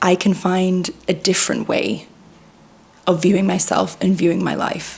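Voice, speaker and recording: A woman speaking at medium pitch and a fairly slow pace, with noticeable background noise. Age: 30s. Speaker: vlogger. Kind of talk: personal vlog monologue. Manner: conversational.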